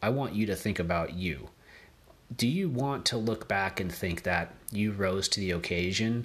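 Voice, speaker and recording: On a very clean recording with a silent background, a man with a fairly low pitch and a bright, sharp tone speaks at a moderate pace with ordinary pitch variation. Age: 30s. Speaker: podcast host, digital marketer. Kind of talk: motivational monologue.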